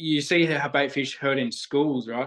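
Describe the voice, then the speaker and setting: A man with a fairly high pitch and an Australian accent. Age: 20s. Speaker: spiritual nature guide. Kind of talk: casual chat.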